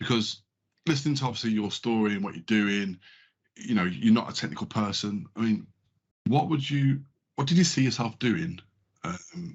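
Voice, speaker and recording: The speaker has a southern English accent. The pace is moderate and the intonation lively. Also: man. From London. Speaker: podcast co-host. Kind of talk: podcast interview.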